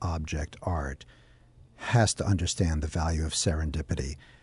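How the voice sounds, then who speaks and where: Against a quiet background, a man with a very deep, low pitch and a dark, mellow tone speaks somewhat breathily at a moderate pace. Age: 50s. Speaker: radio host. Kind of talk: interview.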